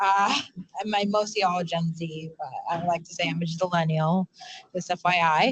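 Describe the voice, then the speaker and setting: In a New York accent, a woman talks at a moderate pace in a fairly low pitch, somewhat breathy, with fairly even intonation. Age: 20s. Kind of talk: panel discussion. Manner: halting.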